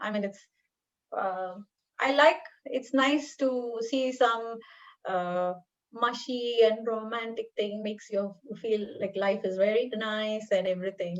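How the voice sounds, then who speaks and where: Speaking with an Indian accent, a woman talks fairly slowly with long, frequent pauses. Her voice is fairly high, with ordinary pitch variation. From northern India. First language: Telugu/Hindi (not English). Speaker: paediatric dentistry professor. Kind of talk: interview.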